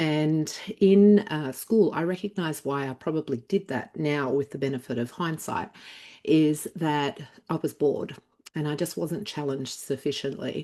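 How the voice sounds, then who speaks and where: With an Australian accent, a woman speaks at a moderate pace in a very deep, low pitch, her tone dark and mellow and her pitch variation ordinary. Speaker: former doctor turned healing coach. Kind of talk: interview. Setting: live online interview.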